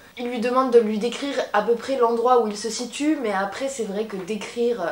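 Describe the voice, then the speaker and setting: A woman with a fairly high pitch speaks at a moderate pace, with audible room echo and noticeable background noise. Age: 20s. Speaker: YouTuber. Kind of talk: casual storytelling. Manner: casual, conversational.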